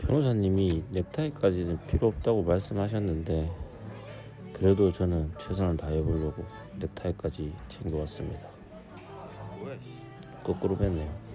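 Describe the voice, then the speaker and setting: Music plays in the background as a man with a very deep, low pitch talks at a moderate pace with lively intonation and long, frequent pauses. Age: 40s. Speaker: defendant in a criminal trial. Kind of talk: casual vlog talk to camera.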